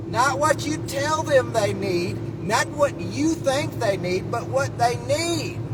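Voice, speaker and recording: A man speaks in an animated tone, with audible room echo and noticeable background noise. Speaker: vlogger. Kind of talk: casual monologue. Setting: in a car. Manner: loud.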